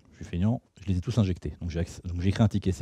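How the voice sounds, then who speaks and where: A man speaks at a very deep, low pitch with a dark, mellow tone and some breathiness. The recording is very clean with a silent background and a dry, close sound with no echo. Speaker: security researcher and tool author presenting at a conference. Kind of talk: technical talk with live demo. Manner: fast; casual, conversational.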